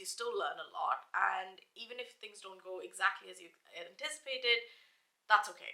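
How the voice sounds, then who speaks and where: In a British accent, a woman speaks at a moderate pace with a fairly high pitch, a bright, sharp tone, and lively intonation. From India, then the UK. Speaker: lifestyle YouTuber. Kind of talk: casual vlog monologue. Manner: hesitant, many fillers.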